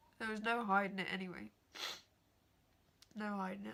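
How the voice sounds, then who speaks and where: In an English accent, a woman talks at a fairly quick pace and medium pitch. Her tone is bright and sharp, with monotone, flat intonation. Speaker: vlogger. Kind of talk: personal story vlog.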